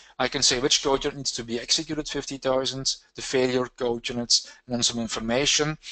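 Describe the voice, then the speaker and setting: This man talks at a fairly quick pace in a medium pitch, his tone bright and sharp and his intonation flat and monotone. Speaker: software trainer presenting a technical session. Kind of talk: technical webinar presentation. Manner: fast; hesitant, frequent uh fillers.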